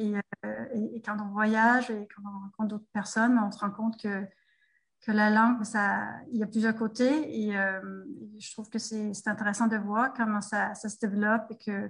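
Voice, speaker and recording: At a moderate pace, a woman with a Danish accent speaks in a fairly high, somewhat breathy voice with monotone, flat intonation and big swings in loudness. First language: Danish (speaking French). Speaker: French teacher and textbook author. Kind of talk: interview. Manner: halting, many hesitations.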